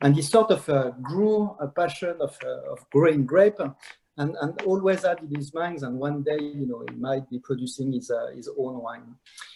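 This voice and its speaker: A man with a strong French accent and lively intonation. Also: fairly high pitch for a man, moderate pace. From France. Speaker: wine brand ambassador, master sommelier. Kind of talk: virtual wine tasting presentation. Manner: halting, many fillers.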